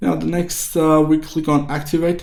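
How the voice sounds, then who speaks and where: A man speaks in a dark, mellow tone, and audible room echo fills the space around him. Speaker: tech tutorial youtuber; presenter. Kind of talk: screen-recorded tutorial. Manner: fast; casual, with fillers. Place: home room.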